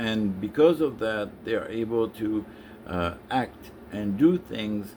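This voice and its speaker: A man with a French accent speaks very slowly, his fairly low voice dark and mellow in tone. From France. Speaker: business consultant. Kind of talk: impromptu live stream monologue. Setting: live stream on social media. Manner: hesitant, many filler sounds.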